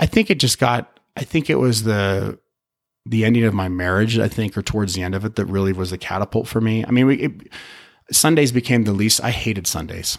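Speaking at a fairly quick pace, a man with an ordinary speaking voice and a fairly low pitch shows ordinary pitch variation on a very clean recording with a silent background. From Utah. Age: 40s. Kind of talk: personal testimony in interview.

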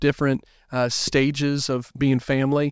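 In a very clean recording with a silent background and a dry, close sound with no echo, a man speaks at a fairly high pitch with a Southern US accent. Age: 30s. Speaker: youth pastor. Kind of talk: casual interview.

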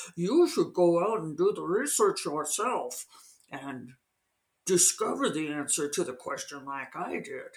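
At a middle pitch, this speaker puts on a character voice. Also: fairly slow pace. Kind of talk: smug, mocking. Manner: snotty, condescending.

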